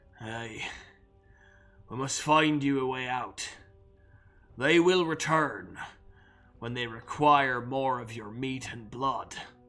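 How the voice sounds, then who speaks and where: A man's put-on character voice at medium pitch, fairly slow and full of long, frequent pauses, over faint music in the background. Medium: actual play. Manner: grim, formal.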